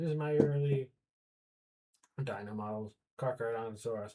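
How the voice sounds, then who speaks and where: Somewhat breathy and dark, mellow in tone, a man's voice moves with ordinary pitch variation. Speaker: 3D artist livestreamer. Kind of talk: casual livestream chat. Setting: livestream at computer. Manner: halting.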